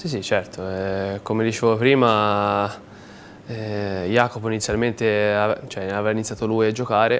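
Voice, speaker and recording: Under light background noise, a man with a fairly low pitch talks at a moderate pace in a monotone, flat intonation. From Tuscany, Livorno; Tuscany. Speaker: professional footballer; guest. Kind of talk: TV sports talk show interview. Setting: TV studio. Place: studio.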